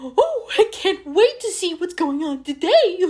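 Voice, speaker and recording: A put-on character voice, extremely high in pitch, at a fairly slow pace. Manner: frantic operatic warble.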